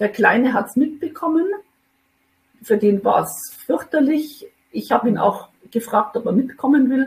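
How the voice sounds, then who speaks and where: A woman speaks at a moderate pace in a high voice, with lively intonation, big swings in loudness, and long, frequent pauses. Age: 50s. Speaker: mother in a custody situation. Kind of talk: personal testimony. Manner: hesitant with many fillers.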